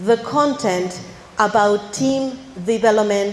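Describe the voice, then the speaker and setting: Speech comes at a very slow pace with lively intonation amid noticeable background noise. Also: woman. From Argentina. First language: Spanish. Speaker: academy director with a PhD. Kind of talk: ceremony speech.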